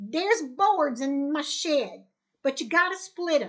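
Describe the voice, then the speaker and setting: A woman puts on a character voice at a high pitch. She goes at a fairly slow pace with very wide pitch swings. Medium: read story. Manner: gruff, blunt.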